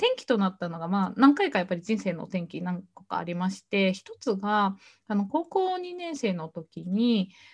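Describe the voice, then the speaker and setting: A woman's somewhat breathy voice at a medium pitch has lively intonation and big swings in loudness. She keeps a moderate pace in a very clean recording with a silent background. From Japan, Shimane. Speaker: entrepreneur. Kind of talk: interview.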